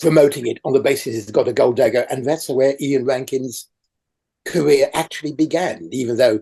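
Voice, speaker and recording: A man's fairly high-pitched, somewhat breathy voice with a dark, mellow tone. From France. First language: French. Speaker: crime writers' association chair. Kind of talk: interview. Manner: halting.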